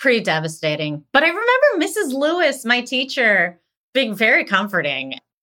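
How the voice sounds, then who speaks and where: Speaking at a moderate pace with an American accent, a woman uses a raised, projected voice with a bright, sharp tone and very wide pitch swings. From Pennsylvania, US (Greensburg, near Pittsburgh). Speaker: actress, writer and film director. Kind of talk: interview, casual conversation.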